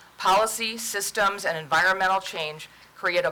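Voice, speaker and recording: A woman speaks with an unremarkable speaking voice at a medium pitch. Her pace is moderate and her intonation fairly even. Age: 60s. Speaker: nonprofit prevention director. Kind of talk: formal presentation. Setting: council meeting.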